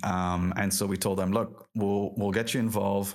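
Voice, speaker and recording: In a flat, monotone intonation, a man talks at a moderate pace. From France and Lebanon. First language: French. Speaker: game industry professional. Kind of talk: podcast interview. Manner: halting, with many fillers.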